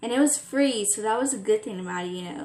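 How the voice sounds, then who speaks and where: Noticeable background noise sits behind a woman's voice. She talks very fast with ordinary pitch variation. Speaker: vlogger. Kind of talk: casual vlog talk. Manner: stuttering.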